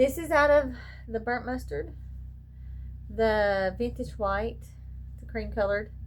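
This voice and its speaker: Heard with audible room echo, the speaker has an American accent. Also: woman. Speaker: crochet small business owner. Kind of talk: casual chat. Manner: fast.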